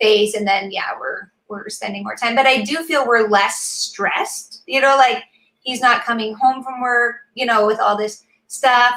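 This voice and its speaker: Speaking at a fairly slow pace, a woman with a high-pitched voice sounds animated, with ordinary pitch variation and big swings in loudness. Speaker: mother of six. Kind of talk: casual chat.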